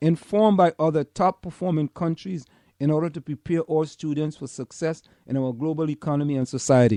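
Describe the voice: A man's fairly high voice with a Caribbean accent, at a moderate pace, in a dry, close sound with no echo.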